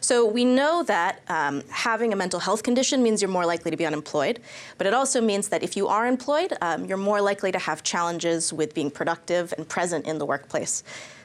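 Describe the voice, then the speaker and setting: A woman with an American accent talks at a fairly quick pace, in a normal speaking voice at medium pitch. Her intonation is lively and she hardly pauses. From United States. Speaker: policy researcher. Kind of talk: panel discussion.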